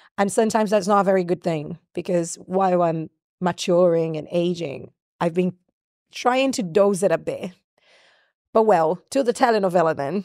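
On a very clean recording with a silent background and a dry, close sound with no echo, a woman at medium pitch speaks with a Brazilian accent at a moderate pace and ordinary pitch variation. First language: Portuguese. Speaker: singer and songwriter. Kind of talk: interview. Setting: video recording. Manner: loud.

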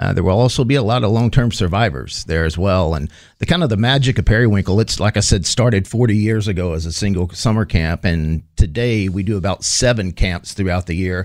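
A man with a Texan accent and a fairly low pitch, fairly quick and with lively intonation, on a very clean recording with a silent background. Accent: Texan American. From northeast Texas (Texarkana). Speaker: charity executive director. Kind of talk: interview.

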